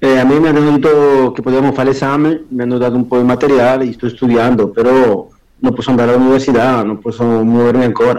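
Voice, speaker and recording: His medium-pitched voice rushes along at a very fast pace. The man's intonation is monotone and flat. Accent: Spanish. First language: Spanish (speaking Italian). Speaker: prisoner on day release. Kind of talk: interview.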